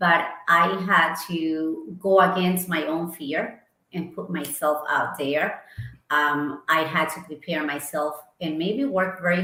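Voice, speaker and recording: Amid audible room echo, a woman with an Ecuadorian accent speaks fairly slowly in a fairly low pitch, with a bright, sharp tone and ordinary pitch variation. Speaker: marketing executive. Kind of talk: interview.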